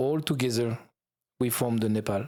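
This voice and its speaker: In a very clean recording with a silent background, a man with a French accent speaks at a moderate pace and medium pitch, his dark, mellow tone held to fairly even intonation. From France. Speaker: YouTube travel creator. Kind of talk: podcast interview. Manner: halting.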